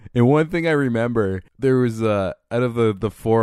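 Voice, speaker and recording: A man at a moderate pace, in a plain, everyday voice, keeps his pitch variation ordinary. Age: 30s. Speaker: podcast host. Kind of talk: casual chat.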